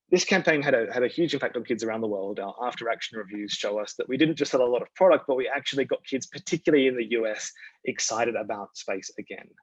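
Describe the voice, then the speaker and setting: With an Australian accent, a man at medium pitch speaks at a very fast pace with hardly any pauses and ordinary pitch variation. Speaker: communications strategist at a toy company. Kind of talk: presentation talk. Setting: virtual event.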